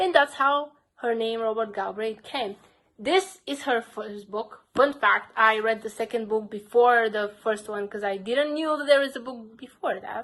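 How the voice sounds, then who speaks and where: Speaking at a fairly slow pace, a woman with a Bulgarian accent uses a fairly high pitch, ordinary pitch variation and big swings in loudness. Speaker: book vlogger. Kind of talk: casual vlog talk.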